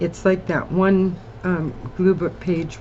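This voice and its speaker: A woman speaks at a fairly slow pace, her pitch fairly low. Background noise is noticeable. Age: 60s. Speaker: collage crafter. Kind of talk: crafting tutorial chat. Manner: casual, chatty.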